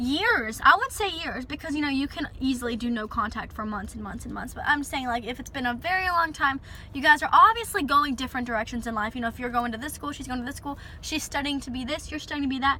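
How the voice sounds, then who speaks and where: Over noticeable background noise, a woman with a high pitch talks at a very fast pace in a raised, projected voice, with ordinary pitch variation and big swings in loudness. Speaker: relationship advice vlogger. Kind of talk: casual advice vlog. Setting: in a parked car.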